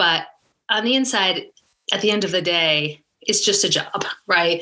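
A woman speaks with an American accent in a bright, sharp tone. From New Jersey, US; high school in UK. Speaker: startup founder. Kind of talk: interview.

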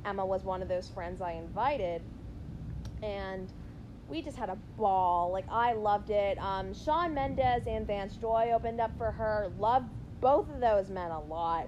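A woman of medium pitch talks at a moderate pace with ordinary pitch variation in a plain, everyday voice. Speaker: podcast co-host. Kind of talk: casual chat.

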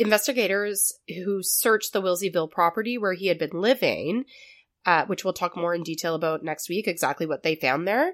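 Captured on a very clean recording with a silent background, a woman in a plain, everyday voice speaks at a fairly quick pace and medium pitch with ordinary pitch variation. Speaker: podcast host. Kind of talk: true crime storytelling, casual.

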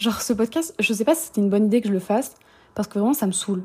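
Somewhat breathy, a woman speaks at medium pitch with a dark, mellow tone. Her pitch varies in an ordinary way. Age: 20s. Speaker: podcast host. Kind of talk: casual monologue.

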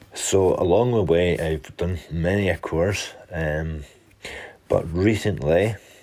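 A man with a Scottish accent, very deep and low in pitch, at a very slow pace. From Scotland. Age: 30s. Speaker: fitness and mental health coach. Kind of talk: personal monologue podcast.

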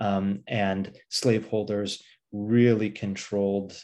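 Against a quiet background, a man with a normal speaking voice speaks at a fairly low pitch with fairly even intonation. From Pasadena, California. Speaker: history professor and author. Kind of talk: interview.

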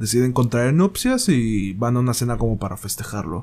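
At a medium pitch, this man talks at a moderate pace, and his pitch varies in an ordinary way. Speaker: solo podcast host reviewing films and series. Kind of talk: casual solo monologue review. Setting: home recording in bedroom. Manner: halting, hesitant with restarts.

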